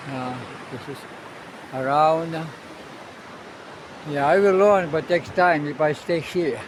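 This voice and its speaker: A man speaking at a very slow pace with ordinary pitch variation, amid audible room echo and noticeable background noise. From Russia. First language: Russian. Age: 70s. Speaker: sailor and travel vlogger. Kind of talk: casual vlog monologue. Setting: outdoors on a beach. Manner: halting, many fillers.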